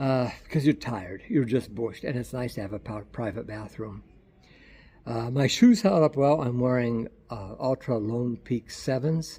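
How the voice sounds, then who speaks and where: A man speaks at a moderate pace and medium pitch, his somewhat breathy voice dark and mellow in tone, with ordinary pitch variation. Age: 60s. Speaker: travel vlogger. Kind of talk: casual video diary. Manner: halting, repeats words.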